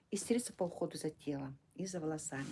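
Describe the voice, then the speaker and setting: Soft-spoken and somewhat breathy, the voice has a dark, mellow tone and ordinary pitch variation. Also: woman. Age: 60s. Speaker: direct sales distributor running a service centre. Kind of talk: live stream sales talk. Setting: live stream. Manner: halting. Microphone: too quiet.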